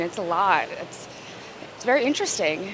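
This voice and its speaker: A woman speaks with an American accent at a moderate pace. Noticeable background noise runs behind her. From Houston, Texas. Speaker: market visitor. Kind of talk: street interview.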